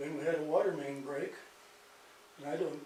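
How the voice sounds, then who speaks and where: A man with an American accent talks at a very fast pace, with noticeable background noise and audible room echo. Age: 80s+. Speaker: resident speaking at council meeting. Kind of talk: public comment. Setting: city council meeting.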